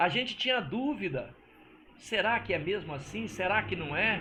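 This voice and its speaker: Raising and projecting his high voice, a man speaks at a fairly slow pace with a bright, sharp tone and lively intonation. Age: 60s. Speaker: religious teacher. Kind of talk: religious teaching monologue. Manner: casual, conversational.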